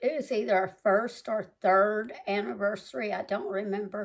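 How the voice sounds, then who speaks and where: In an American accent, a woman with a medium-pitched voice speaks at a fairly slow pace. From US South (Mississippi and Tennessee). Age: 60s. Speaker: home cooking video host, Army veteran. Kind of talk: casual cooking tutorial. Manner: chatty, halting with fillers.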